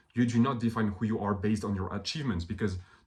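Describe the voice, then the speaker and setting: A man with a fairly low, somewhat breathy voice speaks with ordinary pitch variation. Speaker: self-help video creator. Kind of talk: motivational monologue. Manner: animated.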